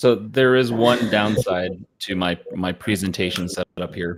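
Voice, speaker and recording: The man speaks at a fairly slow pace. His intonation stays fairly even. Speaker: tech presenter. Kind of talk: casual chat. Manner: halting.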